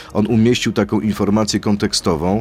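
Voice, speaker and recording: Moderate-paced speech from a man with a fairly low pitch, against noticeable background noise. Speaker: radio host. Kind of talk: radio interview.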